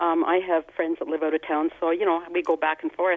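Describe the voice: A woman's low-pitched voice with little pitch movement, in a dry, close sound with no echo. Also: fairly quick pace.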